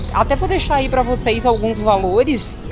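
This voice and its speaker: A woman talks at a moderate pace with clear music playing in the background. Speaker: travel vlogger. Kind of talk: casual vlog chat. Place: street. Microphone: phone near.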